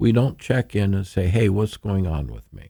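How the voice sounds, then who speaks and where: A man speaks with a very deep, low pitch and a dark, mellow tone. His voice is somewhat breathy and his pace fairly slow. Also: very clean recording, silent background. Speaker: therapist and trauma expert. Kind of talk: interview. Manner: calm, soothing.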